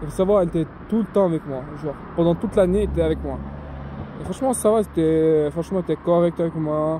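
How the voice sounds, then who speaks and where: The speech runs at a very fast pace with ordinary pitch variation. Background noise is noticeable. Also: man. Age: young. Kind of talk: casual talk to camera. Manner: hesitant, informal.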